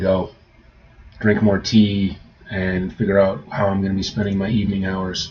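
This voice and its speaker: With noticeable background noise around him, a man speaks fairly slowly in a fairly low voice with ordinary pitch variation. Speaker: writer streaming about their draft. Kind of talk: casual livestream chat. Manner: halting, repeats words.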